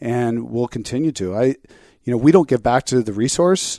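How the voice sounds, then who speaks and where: A man at medium pitch with an American accent and a dark, mellow tone, on a very clean recording with a silent background and a dry, close sound with no echo. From US West Coast, Orange County, California. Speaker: outdoor apparel company founder. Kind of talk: interview.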